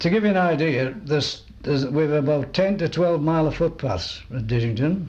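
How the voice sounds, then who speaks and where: Through audible room echo, a man with a Cumbrian accent speaks at a moderate pace and fairly high pitch, with hardly any pauses and very even loudness. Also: ordinary pitch variation. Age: 70s. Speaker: oral history interviewee. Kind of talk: oral history interview.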